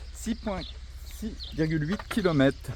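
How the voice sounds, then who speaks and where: Against noticeable background noise, a man keeps up a moderate pace. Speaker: travel vlogger on a walking trip. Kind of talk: vlog narration while hiking. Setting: outdoors. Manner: animated.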